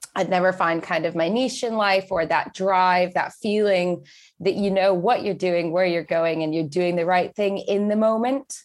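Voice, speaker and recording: An unremarkable speaking voice with an American accent talks at a moderate pace, its loudness very even and its intonation fairly even. The recording is very clean, with a silent background. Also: woman, medium pitch for a woman. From Texas. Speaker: entrepreneur and public speaker. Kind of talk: podcast interview.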